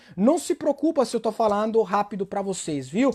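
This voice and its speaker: With an Italian accent, a man speaks at a moderate pace in an extremely high pitch, his intonation lively. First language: Italian (speaking Portuguese). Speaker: Italian language teacher. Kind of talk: online live language lesson. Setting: livestream.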